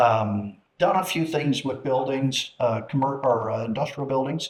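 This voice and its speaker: A man with a medium-pitched voice speaks in an American accent. His pace is fairly slow. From US Midwest, Chicago area. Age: 60s. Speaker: retired businessman and car enthusiast. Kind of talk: casual chat. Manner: halting.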